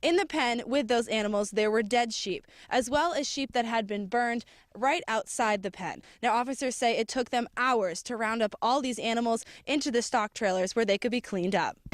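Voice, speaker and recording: A woman's normal speaking voice, fairly high in pitch with ordinary pitch variation, at a moderate pace, with a dry, close sound and no echo. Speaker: TV news reporter. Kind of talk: field news reporting, live report and stand-up. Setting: outdoors on location, live remote.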